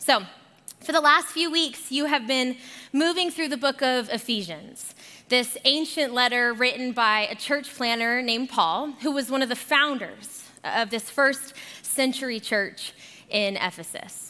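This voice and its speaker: A woman with an American accent projects her voice, speaking at a fairly slow pace with a high pitch, a bright, sharp tone and ordinary pitch variation. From Arizona. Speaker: guest pastor. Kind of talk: sermon. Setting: church.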